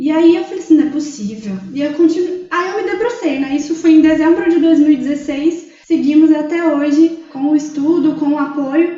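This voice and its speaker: Over noticeable background noise and audible room echo, a woman talks at a moderate pace in a high pitch with ordinary pitch variation. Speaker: psychologist. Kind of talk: casual chat.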